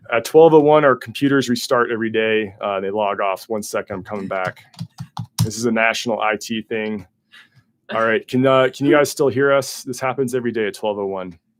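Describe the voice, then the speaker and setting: A man mumbles his words at a fairly quick pace. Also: medium pitch for a man, ordinary pitch variation. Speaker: weather forecaster. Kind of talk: livestream weather briefing. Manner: mumbling; casual, with many fillers.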